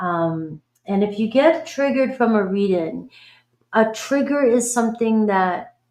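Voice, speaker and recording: This woman has an American accent and a fairly high pitch. Her intonation is lively and her pace fairly slow. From Boston, US. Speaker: tarot reader. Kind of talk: live stream reading chat. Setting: live stream. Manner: animated.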